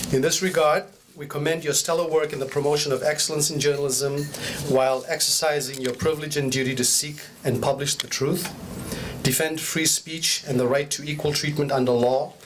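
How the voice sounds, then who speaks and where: A man's fairly high, monotone, flat voice at a fairly quick pace, with audible room echo and noticeable background noise. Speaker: police inspector. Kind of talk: formal speech. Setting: stage with audience. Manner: formal.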